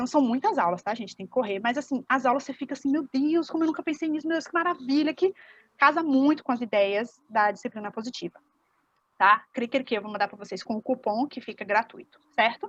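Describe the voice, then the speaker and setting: Lively in intonation and fairly quick, a woman speaks at a high pitch with big swings in loudness. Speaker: parenting educator, workshop instructor. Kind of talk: online workshop lecture.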